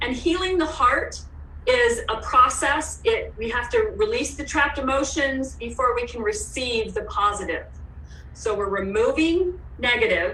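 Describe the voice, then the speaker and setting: The speech comes at a fairly slow pace in a Canadian accent. Noticeable background noise is present. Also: woman. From Alberta, Canada. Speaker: Emotion Code practitioner. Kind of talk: guest interview answer.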